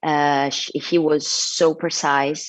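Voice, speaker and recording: With an Italian accent, a woman with a very deep, low pitch speaks at a very slow pace and fairly even intonation against a quiet background. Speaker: actor. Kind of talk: press interview. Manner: halting.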